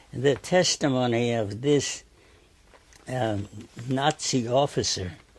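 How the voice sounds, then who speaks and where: A man's medium-pitched, somewhat breathy voice with ordinary pitch variation. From Turkey-born Armenian, raised in New Haven, Connecticut from 12. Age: 80s+. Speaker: painter. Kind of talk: interview. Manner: halting, with repeated words and fillers.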